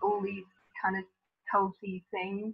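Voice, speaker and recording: A woman with a British accent at medium pitch, music in the background. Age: 60s. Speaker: psychotherapist. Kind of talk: webinar Q&A.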